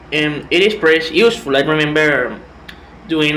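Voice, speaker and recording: Amid noticeable background noise and audible room echo, a man with a fairly high pitch speaks at a fairly slow pace. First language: Spanish. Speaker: language student. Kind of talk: class presentation. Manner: halting, with repetitions and fillers.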